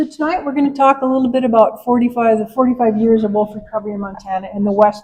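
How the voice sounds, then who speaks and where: A woman with an American accent speaks at a very fast pace, her fairly high voice somewhat breathy with a dark, mellow tone. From Minnesota. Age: 70s. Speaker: wildlife researcher. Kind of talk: public presentation. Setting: live event with audience.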